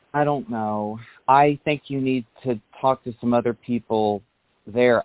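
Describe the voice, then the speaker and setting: A man's medium-pitched, ordinary speaking voice, fairly even in intonation and fairly slow in pace. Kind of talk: phone call with family.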